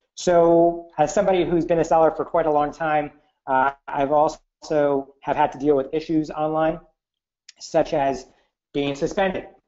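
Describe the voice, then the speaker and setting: A man talks in a normal speaking voice at a moderate pace. His intonation is fairly even against a quiet background. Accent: American. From United States. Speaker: e-commerce entrepreneur. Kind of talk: webinar presentation. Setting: online webinar call. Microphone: headset.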